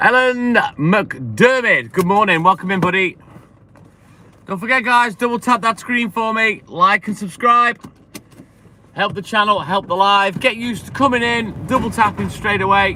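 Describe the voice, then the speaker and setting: Raising and projecting his high voice, a man speaks at a moderate pace with ordinary pitch movement and a bright, sharp tone. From English Midlands. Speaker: milkman livestreamer. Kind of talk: casual livestream chat.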